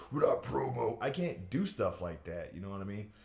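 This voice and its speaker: A man talks at a moderate speed with noticeable noise in the background. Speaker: aspiring wrestler. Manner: casual, rambling speech with false starts.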